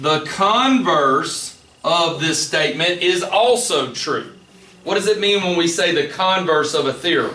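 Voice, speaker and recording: A man talks in a high voice at a fairly slow pace with ordinary pitch variation. Audible room echo and noticeable background noise come through. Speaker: math teacher. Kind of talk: classroom lecture.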